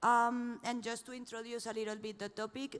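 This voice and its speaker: Female speaker with a Spanish accent. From Spain. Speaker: panel moderator. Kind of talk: panel moderation. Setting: conference stage with audience.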